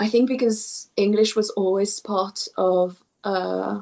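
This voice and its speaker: A woman with a French accent talks at a very slow pace and a medium pitch. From southwest France. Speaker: poet. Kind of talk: interview. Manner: hesitant, repeats words.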